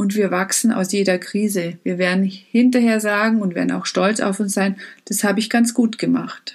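With fairly even intonation and a somewhat breathy quality, a woman's medium-pitched voice moves along at a moderate pace. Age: 50s. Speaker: life coach. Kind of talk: motivational talk.

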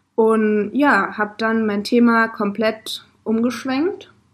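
A somewhat breathy woman's voice, fairly high in pitch, with fairly even intonation. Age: 20s. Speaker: podcast co-host and social media manager. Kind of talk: casual chat. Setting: in a van.

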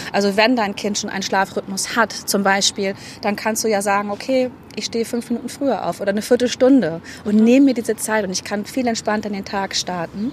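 Through noticeable background noise, a woman talks at a fairly quick pace with fairly even intonation. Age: 30s. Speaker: fitness coach. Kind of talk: interview.

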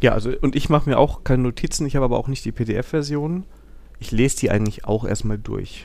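With a dark, mellow tone, a man talks at a moderate pace using ordinary pitch variation. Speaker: software developer podcast host. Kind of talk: casual chat.

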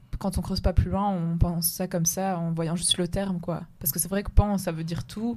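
With hardly any pauses, a woman talks at a fairly quick pace in a fairly low, somewhat breathy voice, her intonation fairly even but her loudness swinging widely. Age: 20s. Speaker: podcast co-host. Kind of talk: casual discussion.

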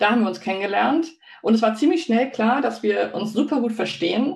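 This woman talks at a moderate pace. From Hamburg, northern Germany. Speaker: business coach and livestream co-host. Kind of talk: casual livestream chat. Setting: live video stream.

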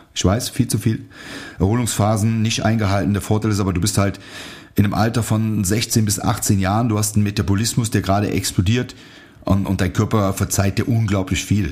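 A man's fairly low, somewhat breathy voice keeps fairly even intonation and very even loudness. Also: fairly quick pace. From Germany, near Aachen. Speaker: martial arts instructor and podcast host. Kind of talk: casual solo podcast monologue.

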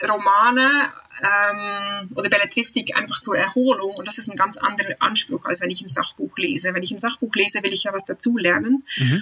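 A woman speaks in a normal speaking voice at medium pitch. Her intonation is lively and her pace moderate. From Switzerland. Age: 40s. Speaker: avid reader, mother of three. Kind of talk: casual interview chat. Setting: remote internet call.

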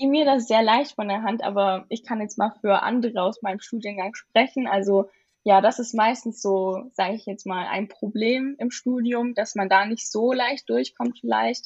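Against a quiet background, a woman with a fairly high, somewhat breathy voice speaks at a moderate pace with fairly even intonation and hardly any pauses. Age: young. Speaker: university student. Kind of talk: casual interview.

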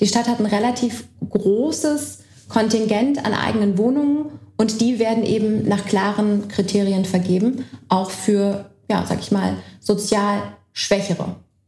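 Noticeable background noise and audible room echo surround a woman speaking fairly slowly. Her medium pitch shows ordinary variation. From Berlin, Germany. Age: young. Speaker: party lead candidate, politician. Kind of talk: casual political chat. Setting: co-working space, recorded. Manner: hesitant, many fillers.

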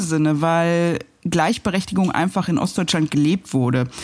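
A woman speaks at a fairly low pitch. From East Berlin (Pankow), Germany. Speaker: journalist and TV news presenter. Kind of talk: casual interview over a meal. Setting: at a dining table, eating. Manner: hesitant, many fillers.

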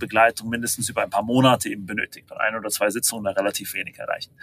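The man's delivery is very fast. Intonation remains fairly even throughout. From half German, half American. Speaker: startup founder and CEO. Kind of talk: interview. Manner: hesitant, many fillers.

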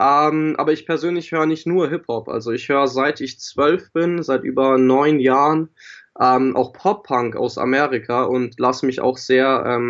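The man keeps a moderate pace. His pitch is medium, with ordinary variation. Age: 20s. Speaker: rapper and audio production student. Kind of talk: casual interview. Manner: hesitant, many fillers.

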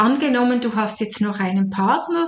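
At a fairly slow pace, a woman with a fairly high pitch speaks with very wide pitch swings. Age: 60s. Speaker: retired nurse and life coach. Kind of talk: podcast monologue.

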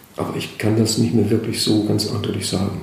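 Noticeable noise sits in the background. The room echo is audible. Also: man. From Schleswig-Holstein, inland. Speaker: children's book author. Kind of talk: interview. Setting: large high-ceilinged room in an old school. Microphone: echoey room sound.

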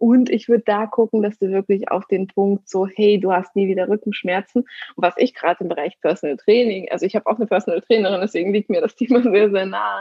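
With hardly any pauses, a woman talks very fast at a medium pitch and fairly even intonation. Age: 30s. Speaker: negotiation coach. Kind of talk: interview. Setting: remote call.

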